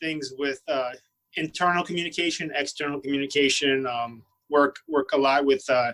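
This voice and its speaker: The man keeps his intonation fairly even. He talks at a moderate pace. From Brooklyn, New York (born in Russia). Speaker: Marine and fitness personality. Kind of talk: podcast interview. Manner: halting, many fillers and restarts.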